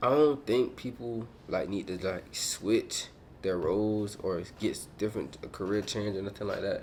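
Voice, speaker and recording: The speaker uses ordinary pitch variation. The pace is moderate. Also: man, fairly low pitch for a man. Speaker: motivational YouTuber. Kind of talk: casual motivational talk to camera. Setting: hotel room. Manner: loud; energetic.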